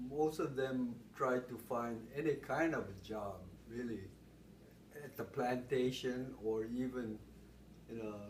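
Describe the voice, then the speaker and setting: Amid noticeable background noise and audible room echo, a man at medium pitch speaks at a very slow pace with fairly even intonation. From Hawaii, Honolulu. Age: 70s. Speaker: interviewee. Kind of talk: oral history interview. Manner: halting.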